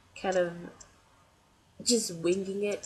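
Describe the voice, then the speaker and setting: Fairly low-pitched woman's voice at a fairly slow pace, over noticeable background noise. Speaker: doll collector. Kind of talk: casual talk to camera.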